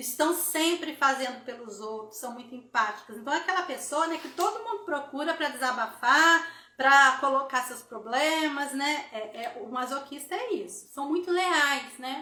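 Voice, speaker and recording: Projecting a raised voice with hardly any pauses, a woman speaks at a high pitch in a bright, sharp tone, her intonation lively and her loudness swinging widely amid audible room echo. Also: moderate pace. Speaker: therapy instructor hosting live. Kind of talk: live stream talk. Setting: Instagram live.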